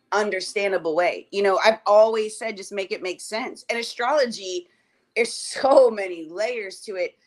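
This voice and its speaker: In an animated tone, a woman of medium pitch speaks at a moderate pace with ordinary pitch variation. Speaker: cardology reader. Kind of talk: casual chat.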